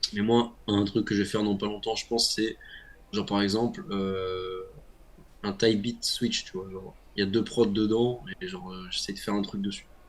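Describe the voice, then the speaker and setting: Flat and monotone, a man speaks at a moderate pace with a fairly low pitch. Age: 20s. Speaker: rapper. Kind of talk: interview. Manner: hesitant, many fillers.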